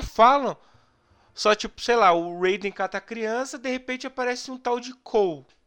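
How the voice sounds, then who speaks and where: Bright and sharp in tone, a man's extremely high-pitched voice moves at a moderate pace with ordinary pitch variation. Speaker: podcast host. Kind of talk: casual chat. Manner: animated.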